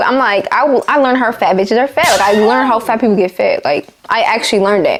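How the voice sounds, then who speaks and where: A woman speaks at a very fast pace with noticeable background noise. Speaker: YouTuber. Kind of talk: storytime monologue. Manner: animated.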